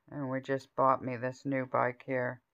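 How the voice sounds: A woman's voice sits at an extremely low pitch with a clear, smooth tone.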